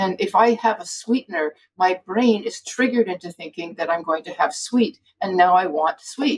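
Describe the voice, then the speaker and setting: With a plain, everyday voice, a woman of medium pitch speaks at a moderate pace with lively intonation in a dry, close sound with no echo. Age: 60s. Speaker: physician, food addiction expert. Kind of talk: interview conversation.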